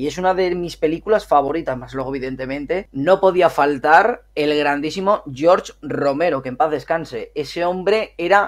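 A man with an ordinary speaking voice talks at a moderate pace with hardly any pauses. His pitch is fairly high, with ordinary variation. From northern Spain, Miranda de Ebro (Burgos). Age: 30s. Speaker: gaming youtuber. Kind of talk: casual interview chat.

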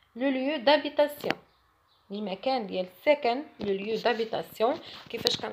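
Speaking at a very slow pace, a woman leaves long, frequent pauses. Her high voice shows ordinary pitch variation. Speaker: French teacher. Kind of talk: tutorial.

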